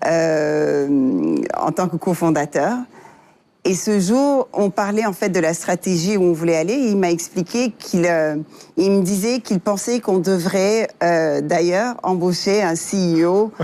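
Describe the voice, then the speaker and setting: In a dark, mellow tone, the voice moves at a very slow pace with very even loudness and ordinary pitch variation. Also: woman, medium pitch for a woman. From Africa, various countries, then the US. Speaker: software engineer and tech entrepreneur. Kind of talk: interview. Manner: hesitant, many fillers.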